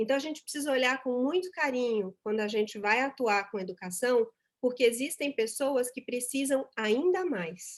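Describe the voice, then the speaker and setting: A woman talks in a high pitch at a moderate pace, with ordinary pitch variation. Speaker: speaker at a corporate volunteering event. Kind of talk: conference talk.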